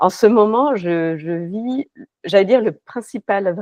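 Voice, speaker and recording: A woman speaks with ordinary pitch variation. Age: 50s. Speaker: life coach. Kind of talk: interview. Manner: halting, many fillers.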